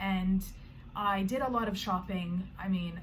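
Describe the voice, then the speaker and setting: A medium-pitched woman with a Canadian accent, amid audible room echo. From Canada. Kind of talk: personal vlog introduction. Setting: bedroom.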